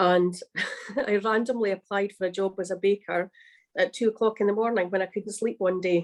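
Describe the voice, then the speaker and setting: A woman with a Scottish accent talks at a fairly quick pace in a medium pitch with fairly even intonation, her sound dry and close with no echo. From Scotland. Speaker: baker and cookbook author. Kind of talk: livestream interview. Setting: livestream.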